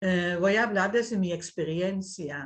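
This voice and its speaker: A woman speaks in a Dutch accent with a quiet background. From Netherlands. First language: Dutch (speaking Spanish). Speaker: invited speaker, writer. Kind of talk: talk in an online dialogue session.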